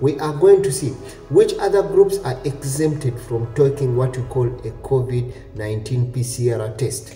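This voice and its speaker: A man talks at a fairly slow pace with ordinary pitch variation. Audible room echo and faint background music are present. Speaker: travel news vlogger. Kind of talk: informational vlog commentary. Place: home room. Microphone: webcam.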